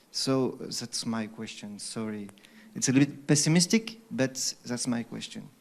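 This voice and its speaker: A moderate pace carries this speech in a non-native accent. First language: not English. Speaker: audience member asking a question. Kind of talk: audience question at seminar. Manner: halting, many hesitations.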